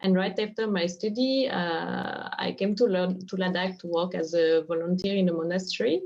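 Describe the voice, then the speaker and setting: With a French accent, a woman talks at a moderate pace with hardly any pauses, her medium-pitched voice fairly even in intonation against noticeable background noise. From France. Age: 20s. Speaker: craft initiative co-founder. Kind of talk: interview.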